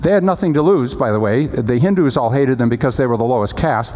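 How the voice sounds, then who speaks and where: Someone talks at a very fast pace, with audible room echo and noticeable background noise. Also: man. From Pakistan. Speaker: missionary. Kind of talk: sermon. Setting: church.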